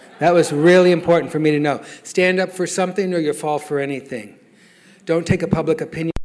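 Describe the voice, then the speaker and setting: A man's very fast, high-pitched delivery with an American accent and fairly even intonation. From Oklahoma, Lawton. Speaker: AA speaker. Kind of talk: testimony. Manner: halting.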